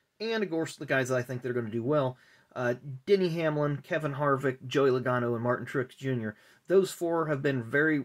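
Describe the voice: A man speaks at a moderate pace in a medium pitch. His pitch varies in an ordinary way.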